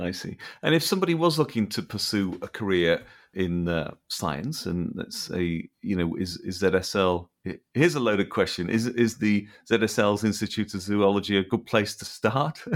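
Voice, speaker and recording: A man's fairly low voice with lively intonation, on a very clean recording with a silent background. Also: moderate pace. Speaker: podcast host. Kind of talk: interview. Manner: halting.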